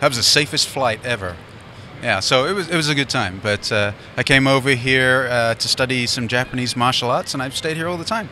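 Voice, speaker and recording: Noticeable background noise accompanies this man as he talks fairly quickly, his medium pitch showing ordinary variation. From London, England. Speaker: ham radio show sidekick. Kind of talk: casual interview. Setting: convention floor.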